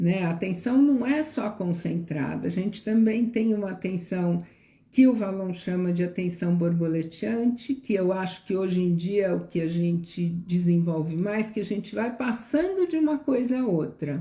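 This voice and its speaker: Somewhat breathy and dark, mellow in tone, a woman speaks at a moderate pace with lively intonation and hardly any pauses. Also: medium pitch for a woman. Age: 60s. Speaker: educator. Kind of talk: live stream talk. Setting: live stream.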